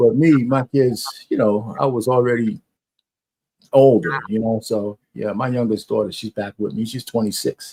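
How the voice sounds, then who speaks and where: With a dark, mellow tone and fairly even intonation, this man speaks at a medium pitch and moderate pace in a dry, close sound with no echo. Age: 60s. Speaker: live stream guest. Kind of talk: casual chat.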